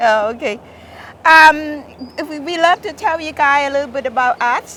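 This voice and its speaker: Her voice raised and projected, a woman speaks at a high pitch and moderate pace, with ordinary pitch variation and big swings in loudness. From Thailand. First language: Thai. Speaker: garden owner. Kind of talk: interview. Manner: halting.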